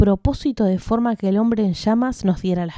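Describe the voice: Someone does plain reading aloud here.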